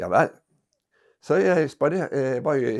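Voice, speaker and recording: Against a quiet background, a man talks with vocal fry and ordinary pitch variation. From Norway, Bergen. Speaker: retired botanist recalling research. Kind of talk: storytelling interview. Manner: halting, many hesitations.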